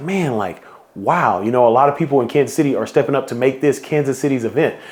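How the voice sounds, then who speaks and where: A medium-pitched man with an American accent, very fast pace and lively intonation. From Houston, Texas. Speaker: event founder and organizer. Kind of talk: guided visualization; promotional vlog. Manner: animated.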